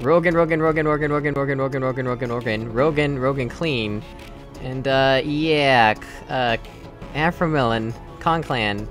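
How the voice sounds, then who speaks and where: Speech at a moderate pace with ordinary pitch variation, and music in the background. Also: man, medium pitch for a man. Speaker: let's play gamer. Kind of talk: casual gameplay commentary.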